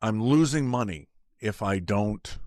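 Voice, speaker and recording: A man with a fairly low pitch speaks at a fairly slow pace in a very clean recording with a silent background. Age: 60s. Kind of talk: casual talk to camera. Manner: halting, with repeated words.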